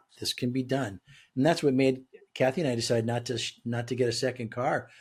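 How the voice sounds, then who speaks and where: A man speaks at a fairly quick pace in an American accent, his voice somewhat breathy and his intonation fairly even. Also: medium pitch for a man. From Southern California. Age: 60s. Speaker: business leader and author. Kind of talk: interview conversation. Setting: remote call.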